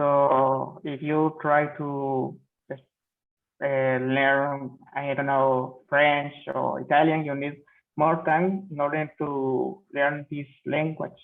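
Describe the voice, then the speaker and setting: A man speaks at a very slow pace with a Spanish accent. His pitch is fairly high. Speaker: student. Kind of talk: speaking exam practice answer. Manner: halting.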